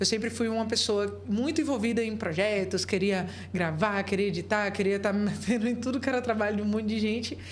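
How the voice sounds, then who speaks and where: A woman speaks at a medium pitch with fairly even intonation. Audible room echo fills the recording. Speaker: entrepreneur, business founder and podcast co-host. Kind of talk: casual chat.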